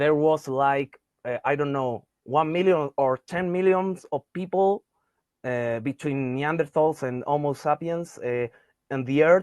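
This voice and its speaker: A man with a Spanish accent, fairly high-pitched for a man, with ordinary pitch variation, a fairly slow pace, and a dry, close sound with no echo against a quiet background. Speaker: band member interviewed. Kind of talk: interview. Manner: halting.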